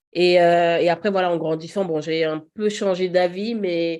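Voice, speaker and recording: A woman's fairly low, dark, mellow voice with fairly even intonation over a quiet background. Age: 30s. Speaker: podcast guest, mother. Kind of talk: casual interview conversation.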